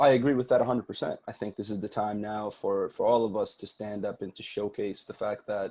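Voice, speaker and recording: A man with an Arabic accent, dark and mellow in tone, fairly quick in pace, with fairly even intonation. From Sudanese family, grew up in Saudi Arabia. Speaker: podcast producer. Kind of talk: podcast interview.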